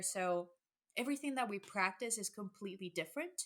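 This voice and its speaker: This woman speaks at a medium pitch with a Spanish accent. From El Salvador, moved to US at ten. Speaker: public health equity coordinator. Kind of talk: podcast interview. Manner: energetic; halting, many restarts.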